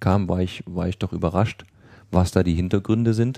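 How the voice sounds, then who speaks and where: A man speaks with very deep, low pitch and a dark, mellow tone, his intonation fairly even. The recording is very clean with a silent background. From Saarland, Germany. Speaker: IT company owner. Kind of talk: casual chat. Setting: studio.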